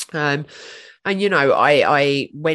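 A speaker with a British accent talks over a quiet background. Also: woman. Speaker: podcast guest.

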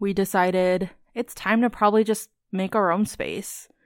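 A woman's medium-pitched voice with an American accent, monotone and flat at a moderate pace, in a very clean recording with a silent background. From US (Virginia, Idaho, Alabama, Missouri). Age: 20s. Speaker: podcast co-host. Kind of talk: casual chat.

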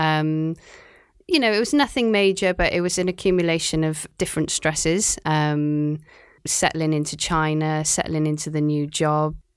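In a very clean recording with a silent background, a woman with a Cardiff accent speaks at a moderate pace with a very deep, low pitch and fairly even intonation. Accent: Welsh (Cardiff). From Wales, Cardiff. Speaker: marine biologist. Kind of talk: casual interview.

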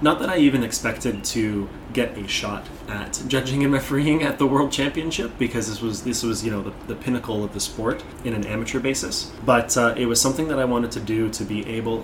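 A man's medium-pitched voice with a Canadian accent, fairly quick pace and ordinary pitch variation, amid noticeable background noise and audible room echo. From Toronto, Ontario, Canada. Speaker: Muay Thai referee and judge. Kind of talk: interview. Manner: hesitant, many fillers and repeats.

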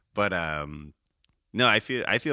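Bright, sharp male voice in an American accent, with vocal fry at a moderate pace, very clean and dry, close, with a silent background and no echo. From Chicago suburbs, Illinois. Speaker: podcast guest. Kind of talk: casual chat. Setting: studio, in person.

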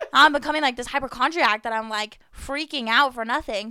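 A woman speaks in a raised, projected voice with a bright, sharp tone and high pitch. Her pitch varies an ordinary amount, and the recording is very clean with a silent background. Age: 20s. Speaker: nursing student. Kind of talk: casual chat. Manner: fast talker.

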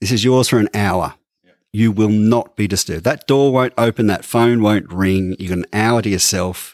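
In a very clean recording with a silent background and a dry, close sound with no echo, a man with an Australian accent speaks at a fairly low pitch and moderate pace, with ordinary pitch variation. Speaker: podcast co-host. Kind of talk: casual chat. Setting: studio.

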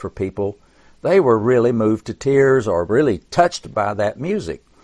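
An ordinary speaking voice with lively intonation at a moderate pace, against a quiet background. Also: man. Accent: American. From Tennessee, US South. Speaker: songwriter and author. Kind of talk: interview. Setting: video call.

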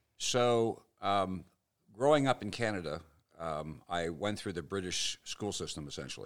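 The man has an unremarkable speaking voice, pitched fairly low. He talks at a moderate pace with lively intonation. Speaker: financial advisor, former community leader. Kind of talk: interview, storytelling.

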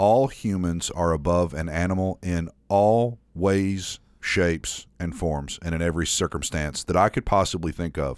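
With a slight Southern accent, a man speaks at a very deep, low pitch with ordinary pitch variation and hardly any pauses, on a very clean recording with a silent background. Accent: slight southern drawl. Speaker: podcast co-host. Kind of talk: casual chat.

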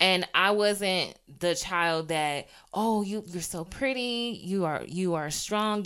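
Here is a woman with a fairly low pitch and ordinary pitch variation. She has an unremarkable speaking voice. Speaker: podcast host. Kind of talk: solo podcast monologue, personal reflection.

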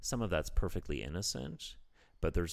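With a Canadian accent, a man speaks using lively intonation. Vocal fry runs through his voice. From Canada. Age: 40s. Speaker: comedian. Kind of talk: casual chat. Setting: his apartment.

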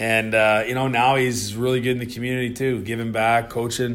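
A man with a Canadian accent, amid audible room echo and noticeable background noise. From Canada. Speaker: retired hockey enforcer. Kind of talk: casual interview. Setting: office.

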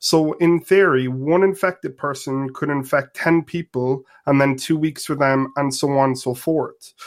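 At a moderate pace and with hardly any pauses, a man talks in a fairly high voice with fairly even intonation. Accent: Irish. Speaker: caller. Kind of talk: call-in discussion.

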